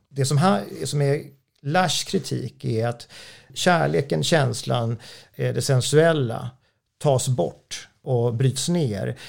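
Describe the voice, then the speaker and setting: Speaking at a very slow pace, a man keeps to a medium pitch. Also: lively intonation. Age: 40s. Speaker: author. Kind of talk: interview. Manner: halting.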